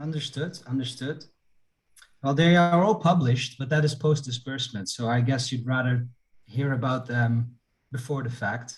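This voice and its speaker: A man's medium-pitched, somewhat breathy voice with a Dutch accent and ordinary pitch variation. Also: moderate pace. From Netherlands. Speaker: investment analyst. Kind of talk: casual chat. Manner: halting.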